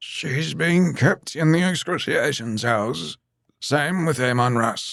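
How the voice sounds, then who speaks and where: A raspy, put-on character voice from a man, fairly high in pitch, at a fairly slow pace. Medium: read story. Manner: hushed, fervent.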